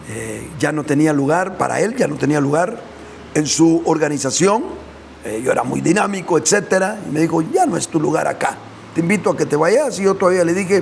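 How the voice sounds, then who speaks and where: The speech moves at a fairly quick pace with ordinary pitch variation. Noticeable background noise and audible room echo fill the recording. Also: man, high pitch for a man. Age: 60s. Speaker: preacher. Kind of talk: sermon. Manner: hesitant fillers.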